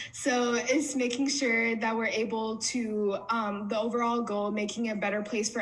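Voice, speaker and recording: A woman with a fairly high pitch talks at a moderate pace with fairly even intonation. Audible room echo and noticeable background noise are present. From US, Somali immigrant family. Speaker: community organizer. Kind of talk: panel interview.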